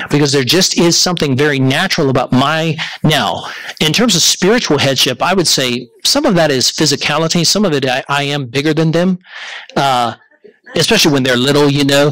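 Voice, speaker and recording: This man talks at a fairly quick pace in a fairly high voice, holding his loudness very even. Noticeable background noise runs under the recording. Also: ordinary pitch variation. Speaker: pastor. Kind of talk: teaching Q&A session.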